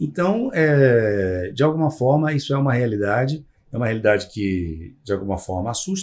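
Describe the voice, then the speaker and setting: The man's pitch swings very widely as he speaks at a moderate pace. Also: medium pitch for a man. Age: 60s. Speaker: psychologist. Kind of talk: podcast interview. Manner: hesitant, many fillers.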